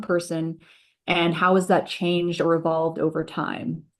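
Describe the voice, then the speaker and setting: A woman with an American accent speaks at a fairly low pitch. The background is quiet. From Boston, US. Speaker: environmental justice organizer. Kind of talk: presentation. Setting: video call.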